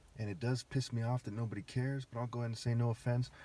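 A somewhat breathy man talks very fast, with light background noise and a dry sound with no echo. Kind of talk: ranting monologue.

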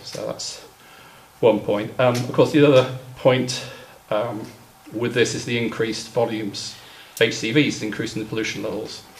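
A man speaks at a moderate pace with long, frequent pauses over light background noise. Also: fairly even intonation. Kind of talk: meeting report. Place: hall. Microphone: camera far.

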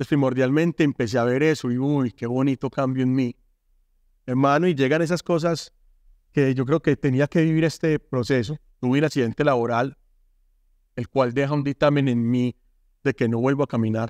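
Against a quiet background with a dry sound and no echo, a man speaks at a fairly quick pace and fairly even intonation, with long, frequent pauses. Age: 40s. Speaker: former gang member turned artist and speaker; speaker. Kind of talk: testimony. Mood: earnest, emotional life story. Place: studio. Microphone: lapel.

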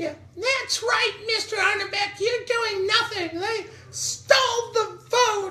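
In a squeaky, female-sounding put-on character voice at an extremely high pitch, the lines come at a fairly slow pace.

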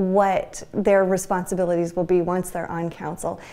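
A woman is speaking. She has a dark, mellow tone. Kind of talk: interview answer. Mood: friendly, smiling. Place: office. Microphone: lapel.

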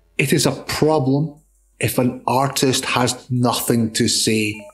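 A man speaks with music in the background. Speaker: narrator. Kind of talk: art film narration.

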